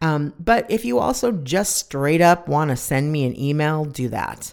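This woman's very deep, low, husky voice carries an animated tone and lively intonation. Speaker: podcast host. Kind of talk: casual chat, solo monologue. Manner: animated, expressive.

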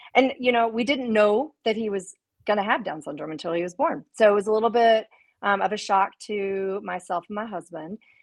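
In an American accent, a woman speaks with a plain, everyday voice, a fairly high pitch and ordinary pitch variation. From US South, Memphis, Tennessee. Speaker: children's book author and business leader. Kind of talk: casual interview.

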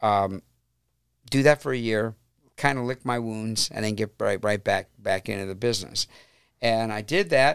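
On a very clean recording with a silent background and a dry, close sound with no echo, a man with a Northern Ohio accent speaks at a fairly slow pace, with medium pitch and ordinary pitch variation. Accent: Midwestern American (Northern Ohio). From Cleveland, Ohio (Brook Park). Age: 60s. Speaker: rock musician, singer and keyboardist. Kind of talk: casual interview.

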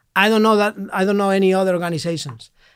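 A man with a Spanish accent, on a very clean recording with a silent background. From Spain, Madrid. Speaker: priest. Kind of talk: interview. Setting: studio.

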